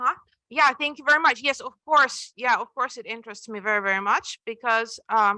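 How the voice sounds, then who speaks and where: A woman's bright, sharp voice with a Russian accent, high in pitch, at a fairly quick pace, with ordinary pitch variation and big swings in loudness. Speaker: author. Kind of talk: Q&A at book presentation. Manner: halting, many repetitions.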